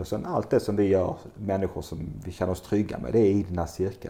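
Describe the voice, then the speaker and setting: A dark, mellow tone carries this moderately paced speech. There is a somewhat breathy edge to it. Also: man. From southern Sweden, Skåne (Bjärred near Lund). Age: 50s. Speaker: entrepreneur and retreat center owner. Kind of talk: interview conversation. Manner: hesitant, with fillers.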